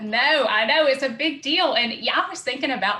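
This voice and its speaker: A woman's high, raised and projected voice with a Southern US accent, lively intonation and a moderate pace. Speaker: podcast host. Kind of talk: podcast interview.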